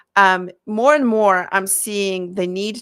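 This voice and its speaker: A woman with a non-native accent speaks very slowly at a medium pitch with ordinary variation, in a very clean recording with a silent background. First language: not English. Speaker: marketing consultant for therapists. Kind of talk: live Q&A style talk to camera. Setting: live stream on camera. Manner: halting, many fillers and self-corrections.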